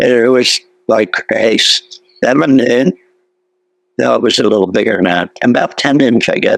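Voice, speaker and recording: A man with an American accent speaks at a medium pitch. He goes very slowly, and the sound is dry and close with no echo. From Philadelphia. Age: 80s+. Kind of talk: interview answer.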